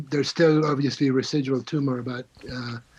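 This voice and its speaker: Noticeable background noise behind a man of medium pitch with fairly even intonation. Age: 60s. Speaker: patient advocate. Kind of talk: testimony. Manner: halting.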